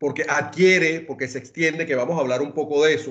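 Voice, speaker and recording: In a Venezuelan accent, a man speaks at a fairly high pitch. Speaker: lawyer, wealth and succession planning expert. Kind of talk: webinar talk. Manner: hesitant restarts.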